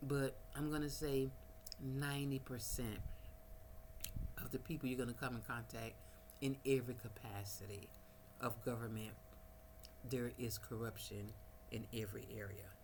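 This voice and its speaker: With an American accent, a woman with a very deep, low voice talks at a moderate pace with fairly even intonation and long, frequent pauses, amid noticeable background noise and audible room echo. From United States. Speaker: vlogger. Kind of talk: casual vlog monologue. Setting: at home, no power, small fan running.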